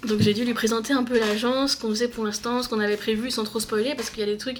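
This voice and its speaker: Noticeable background noise sits behind the speech. The pace is very fast and the intonation fairly even. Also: woman. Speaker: book vlogger. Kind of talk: casual vlog talk. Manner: hesitant, many fillers; loud when passionate.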